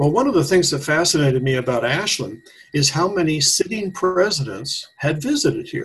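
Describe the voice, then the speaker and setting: With an American accent, a man with a fairly high pitch speaks at a moderate pace and with lively intonation. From US Pacific Northwest, Washington. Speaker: retired educator and local historian. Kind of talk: radio interview. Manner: halting.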